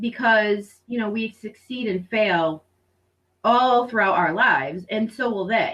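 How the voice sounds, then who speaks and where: With an American accent, a woman talks at a fairly slow pace, her fairly high voice carrying lively intonation. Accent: Rhode Island and Boston. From Rhode Island, US. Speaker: homeschooling mother and program director. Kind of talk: interview testimony.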